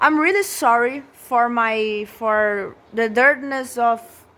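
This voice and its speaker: Speaking with a Portuguese accent, a woman has a fairly high pitch and ordinary pitch variation. Her pace is very slow. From Brazil. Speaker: vlogger. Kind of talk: room tour vlog. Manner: halting, many repetitions.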